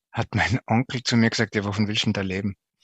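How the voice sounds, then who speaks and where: Here a man talks at a moderate pace in a medium pitch. His intonation stays flat and monotone. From Austria, Tyrol (Zillertal). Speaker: culture journalist and TV presenter. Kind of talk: interview. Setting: internet call.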